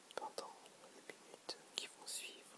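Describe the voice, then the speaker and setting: Whispering comes through beneath noticeable background noise. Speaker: ASMR creator. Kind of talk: guided relaxation. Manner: whispered; slow, soft-spoken.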